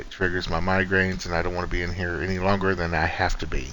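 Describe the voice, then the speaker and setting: In a room with audible echo, a man with a very deep, low pitch speaks quietly at a moderate pace. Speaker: gaming streamer. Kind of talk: casual gameplay commentary. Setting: at home, early morning. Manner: quiet, subdued.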